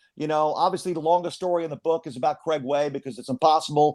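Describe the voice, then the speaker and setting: With an American accent, the speaker talks at a very fast pace in an animated tone. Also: man. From US Northeast, Philadelphia. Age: 60s. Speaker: play-by-play sports announcer. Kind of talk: casual interview, storytelling.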